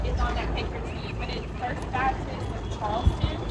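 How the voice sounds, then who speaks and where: Someone talks at a moderate pace through loud background noise. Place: street.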